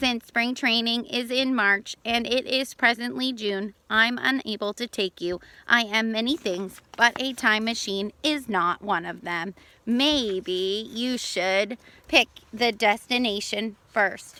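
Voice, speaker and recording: A woman uses a put-on character voice at a fairly high pitch and speaks at a fairly slow pace. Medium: read story. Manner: formal, pompous.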